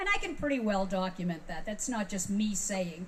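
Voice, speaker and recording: A woman speaks with a fairly high pitch. The recording has audible room echo and noticeable background noise. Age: 60s. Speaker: music industry veteran speaking at a fan convention. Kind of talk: convention talk. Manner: animated.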